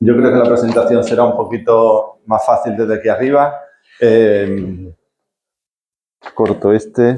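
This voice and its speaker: The man has a dark, mellow tone, fairly even intonation and very even loudness. His pace is fairly slow, with long, frequent pauses. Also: medium pitch for a man. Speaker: neurologist, lecturer. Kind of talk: lecture. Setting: hall with audience, microphone.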